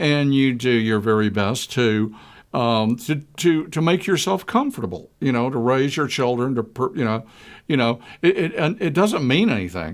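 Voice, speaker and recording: A plain, everyday voice from a man with an American accent, medium pitch, lively intonation and a moderate pace, on a very clean recording with a silent background. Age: 60s. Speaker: public access talk show co-host. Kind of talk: casual discussion.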